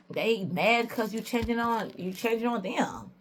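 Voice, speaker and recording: A woman's somewhat breathy voice. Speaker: tarot reader. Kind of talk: tarot reading. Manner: casual, conversational; halting at times.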